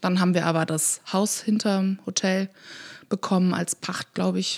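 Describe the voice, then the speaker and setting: A somewhat breathy woman at medium pitch and moderate pace, with ordinary pitch variation and a dry, close sound free of echo. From Rhineland, Germany (Königswinter near Bonn). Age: 30s. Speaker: café owner. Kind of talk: casual interview. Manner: laughs often.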